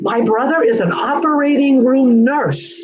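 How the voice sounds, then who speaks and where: High-pitched, a woman speaks in an American accent. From San Diego, California. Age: 70s. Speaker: adoptee, retired teacher. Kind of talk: interview, personal testimony. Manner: halting.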